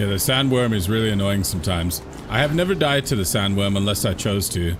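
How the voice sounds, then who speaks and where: A man at a very fast pace, fairly low-pitched with ordinary pitch variation, amid audible room echo and music in the background. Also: very even loudness. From England, London. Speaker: gaming streamer. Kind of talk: casual live-stream chat.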